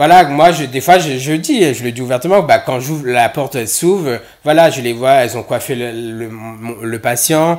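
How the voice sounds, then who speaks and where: A man with a Réunion accent at medium pitch, ordinary pitch variation, moderate pace and big swings in loudness. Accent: Réunionese. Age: 30s. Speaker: nurse. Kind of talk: casual chat. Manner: halting.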